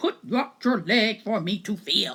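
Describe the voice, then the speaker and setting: This is a put-on character voice at a fairly slow pace. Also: female-sounding voice. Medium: read story. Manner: gruff, grumbling.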